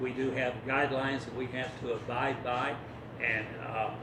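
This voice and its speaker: A man speaks at a moderate pace with a medium pitch. Noticeable background noise and audible room echo are present. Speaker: town council member. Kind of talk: public meeting answer. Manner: soft-spoken.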